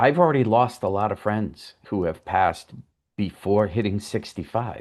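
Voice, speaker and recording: A man with a fairly low pitch talks over a quiet background. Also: ordinary pitch variation, moderate pace. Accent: slight Boston. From US Northeast, Boston. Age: 60s. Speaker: writer. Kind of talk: interview. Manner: hesitant, many ums.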